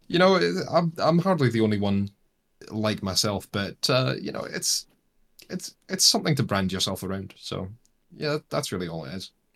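This man's voice has a fairly low pitch and very wide pitch swings. He talks at a moderate pace. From Scotland, raised in Australia. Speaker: YouTuber, game content creator. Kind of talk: casual interview chat. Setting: Australia.

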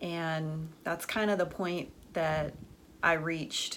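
In a room with audible echo, a woman with a fairly low pitch speaks very slowly in a flat monotone. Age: 40s. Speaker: podcast host and business professor. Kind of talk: personal monologue.

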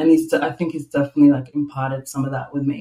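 Speaking at a very fast pace, a woman talks with an Australian accent. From Melbourne, Australia (south-east suburbs). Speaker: independent producer and event organiser. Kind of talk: casual interview chat.

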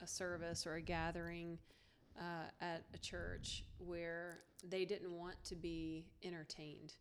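A woman speaks in a Texan accent at fairly low pitch. Her delivery is very slow and monotone, with flat intonation. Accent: Texan drawl. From Texas. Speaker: podcast host. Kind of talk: casual interview chat. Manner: warm, laughing.

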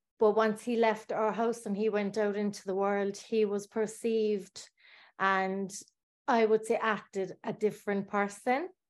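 In a Cork accent, a woman speaks at medium pitch and a fairly slow pace. Her delivery is flat and monotone against a quiet background. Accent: Cork Irish. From Ireland, Bandon, County Cork. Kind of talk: personal testimony.

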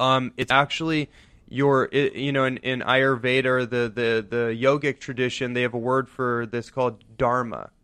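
With an American accent, a man speaks at a moderate pace in a bright, sharp tone, his medium pitch held in monotone, flat intonation. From US West Coast, San Francisco Bay Area. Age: young. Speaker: wellness entrepreneur and lecturer. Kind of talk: radio interview, casual chat. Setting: radio studio.

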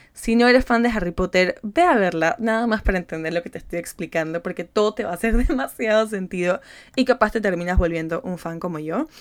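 Her delivery is animated, with lively intonation, a medium pitch and a fairly quick pace from this woman. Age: 20s. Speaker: psychologist and manifestation coach, podcast host. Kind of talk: solo motivational podcast talk.

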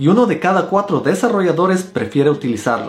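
Over music in the background, a man talks at a very fast pace in a high pitch with lively intonation. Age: 30s. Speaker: software engineer and programming YouTuber. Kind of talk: tutorial.

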